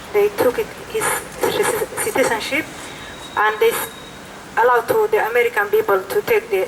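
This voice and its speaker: Speaking with a non-native accent, a woman talks at a fairly quick pace. She takes long, frequent pauses amid noticeable background noise. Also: very even loudness. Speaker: protest speaker, mother of detainee. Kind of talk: protest speech. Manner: halting.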